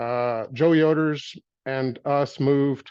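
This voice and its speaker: With fairly even intonation, this man holds a medium pitch. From US Midwest (Michigan). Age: 60s. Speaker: former church member telling life story. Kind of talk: personal testimony interview. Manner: hesitant, with fillers and restarts.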